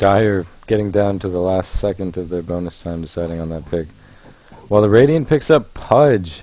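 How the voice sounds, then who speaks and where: A man's very deep, low voice with lively intonation at a moderate pace, over noticeable background noise. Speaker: esports commentator. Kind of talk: live commentary.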